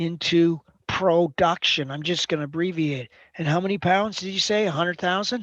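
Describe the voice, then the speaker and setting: A woman talks at a moderate pace in a fairly low voice with ordinary pitch variation. She has an unremarkable speaking voice, and the sound is dry and close with no echo. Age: 60s. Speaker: accounting teacher. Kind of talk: classroom lecture. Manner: interactive questioning.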